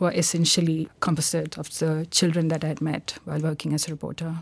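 She speaks with a fairly low pitch. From India, Kerala. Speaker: novelist, former news reporter. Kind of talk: interview.

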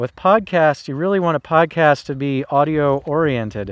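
A man speaks at a moderate pace in a plain, everyday voice, his fairly high pitch showing ordinary variation. The sound is dry and close with no echo, over a quiet background. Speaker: podcast host. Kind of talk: casual monologue. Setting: home living room, recorded on phone.

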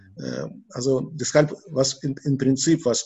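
Very slowly, a man with a medium pitch speaks in a somewhat breathy voice. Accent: Russian. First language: Russian (speaking German). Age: 60s. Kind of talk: interview. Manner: halting, many repetitions and fillers.

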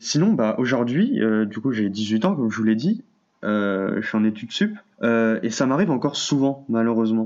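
A man with a normal speaking voice at medium pitch, at a moderate pace, against a quiet background. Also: ordinary pitch variation, very even loudness. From France. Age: young. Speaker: university student. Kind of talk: testimony.

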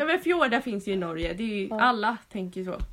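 Her voice swings very widely in pitch. The woman speaks at a fairly high pitch. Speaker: podcast host. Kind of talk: casual chat.

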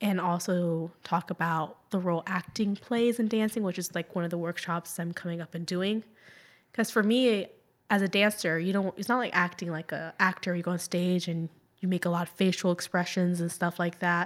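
Heard on a very clean recording with a silent background, a woman has an unremarkable speaking voice, a fairly low pitch, fairly even intonation, and a moderate pace. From Jacksonville, Florida, US (Puerto Rican parents). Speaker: dancer and painter. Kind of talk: interview.

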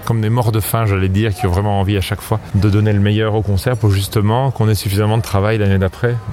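A man's fairly low voice at a very fast pace, with fairly even intonation and noticeable background noise. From France. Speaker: singer and ensemble director. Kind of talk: interview.

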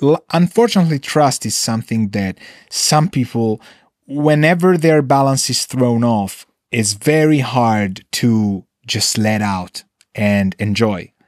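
Recorded very cleanly against a silent background, a man talks at a fairly slow pace in a dry, close sound with no echo. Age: 30s. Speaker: recording studio owner and producer. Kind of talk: casual monologue. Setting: recording studio control room. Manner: soothing.

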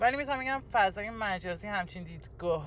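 The voice belongs to a man. Ordinary pitch variation runs through it. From Iran, Tehran. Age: 20s. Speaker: interviewee sharing life story. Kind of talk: personal testimony interview. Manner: hesitant, halting.

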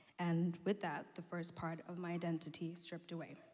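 A woman with a medium-pitched voice talks over music in the background. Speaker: church member. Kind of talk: testimony.

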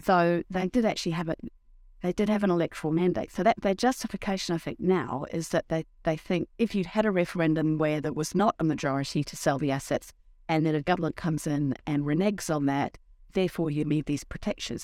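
In a New Zealand accent, a woman talks fairly quickly at a fairly low pitch, recorded with a dry, close sound and no echo. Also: ordinary pitch variation. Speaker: podcast host. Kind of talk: casual political discussion.

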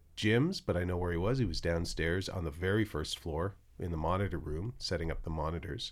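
Fairly quick speech from a man pitched very deep and low, in a very clean recording with a silent background. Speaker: podcast host and paranormal investigator. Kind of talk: casual banter.

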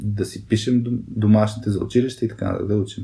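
The voice has a dark, mellow tone, somewhat breathy, delivered at a moderate pace. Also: man. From Bulgaria, Burgas. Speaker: podcast co-host. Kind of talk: casual chat.

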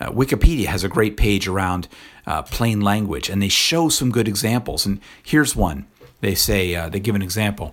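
A man with a normal speaking voice talks fairly quickly at a fairly low pitch, his intonation lively. The recording is very clean, with a silent background. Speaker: podcaster. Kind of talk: solo commentary.

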